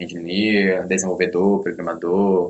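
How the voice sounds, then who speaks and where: A man with a very deep, low pitch talks at a fairly slow pace in a monotone, flat delivery. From Belém do Pará, northern Brazil. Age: young. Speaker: self-taught programmer. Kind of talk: interview.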